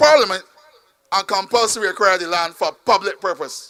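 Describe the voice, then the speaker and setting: In a raised, projected voice, a man speaks at a moderate pace. His tone is animated and his intonation lively. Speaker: politician. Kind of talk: campaign speech.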